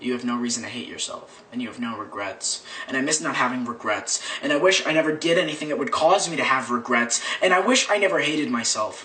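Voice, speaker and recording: Talking at a very fast pace, a man with a fairly high pitch and ordinary pitch variation is heard over noticeable background noise. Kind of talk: slam poetry performance.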